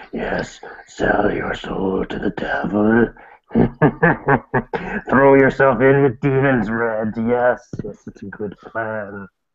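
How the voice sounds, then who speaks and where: Putting on a character voice, a man speaks at a very slow pace and medium pitch, with long, frequent pauses. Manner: tempting, sinister.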